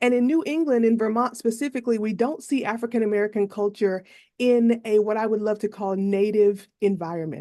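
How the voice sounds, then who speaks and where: Her intonation remains fairly even. The woman's tone is dark and mellow. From US South, North Carolina. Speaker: professor giving testimony. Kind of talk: legislative testimony.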